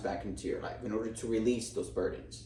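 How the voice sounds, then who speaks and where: In a room with audible echo, a man talks at a fairly quick pace. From Cuba. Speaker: tarot reader. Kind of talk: tarot reading.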